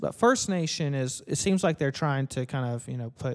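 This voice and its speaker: On a very clean recording with a silent background, a man with a normal speaking voice talks at medium pitch, a moderate pace and ordinary pitch variation. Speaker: podcast host. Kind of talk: casual chat.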